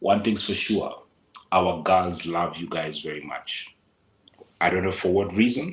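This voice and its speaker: Speaking with a Kenyan accent, a man uses a very deep, low pitch and ordinary pitch variation, moving at a fairly slow pace with long, frequent pauses. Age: 40s. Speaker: local advisor on Kenya travel. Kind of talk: interview.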